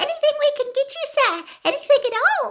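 This is a put-on character voice at an extremely high pitch. It sounds squeaky. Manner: eager, servile.

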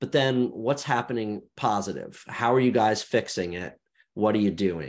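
A man of medium pitch uses a plain, everyday voice, speaking at a moderate pace with ordinary pitch variation over a quiet background. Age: 40s. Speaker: media founder and podcast host. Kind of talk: interview conversation.

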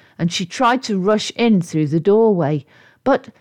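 Text is being read out loud. It comes across in a natural voice.

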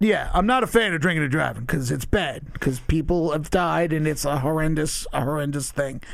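A man in a normal speaking voice talks with hardly any pauses, at fairly high pitch and with ordinary pitch variation. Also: fairly quick pace. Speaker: guest. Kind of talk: casual chat, interview.

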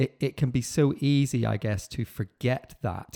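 Dry and close with no echo, a man's dark, mellow tone sits on a very clean recording with a silent background. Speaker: podcast host. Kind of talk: interview conversation.

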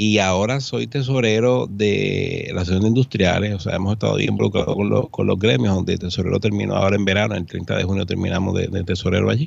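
A man's fairly low voice with vocal fry, very fast pace and ordinary pitch variation, over a quiet background. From Puerto Rico, San Juan. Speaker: accountant. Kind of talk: radio interview. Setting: studio.

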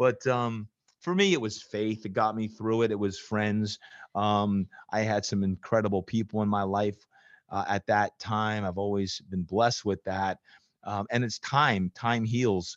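Speaking at a fairly slow pace, a man with an American accent has a plain, everyday voice, fairly low pitch and fairly even intonation. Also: dry, close sound with no echo. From New Jersey. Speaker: fitness coach. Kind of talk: interview.

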